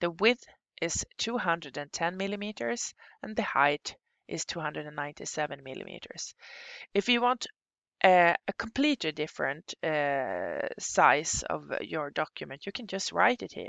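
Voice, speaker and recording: Marked by vocal fry and a non-native accent, the voice shows very wide pitch swings and big swings in loudness. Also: woman, fairly low pitch for a woman, moderate pace. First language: Swedish. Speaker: software instructor. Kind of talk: tutorial. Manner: halting.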